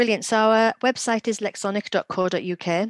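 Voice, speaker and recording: A woman with a Teesside accent talks at a fairly quick pace with ordinary pitch variation, her voice dry and close with no echo against a quiet background. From northern England, Middlesbrough. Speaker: former teacher, literacy company executive. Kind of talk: casual interview.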